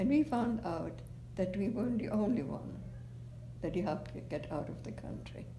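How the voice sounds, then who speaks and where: A woman speaks with a German accent, leaving long, frequent pauses. Room echo is audible in the recording. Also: moderate pace. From Germany, Heidelberg. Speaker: oral history interviewee. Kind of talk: oral history interview. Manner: halting.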